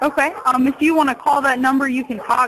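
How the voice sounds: A woman speaks at a fairly quick pace with a fairly bright tone. Her pitch is high and her intonation fairly even.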